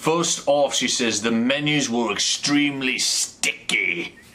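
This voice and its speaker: With an English accent, a man talks in a fairly high voice against noticeable background noise. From England. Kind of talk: comedic reading of online reviews to camera. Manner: casual, rambling, joking.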